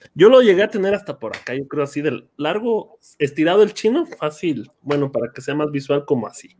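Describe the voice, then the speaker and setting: With an unremarkable speaking voice, a man talks at a fairly quick pace and a fairly high pitch, with hardly any pauses. His intonation is lively, and his loudness swings widely. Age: 30s. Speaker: podcast host, teacher. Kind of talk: casual chat. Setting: video call livestream.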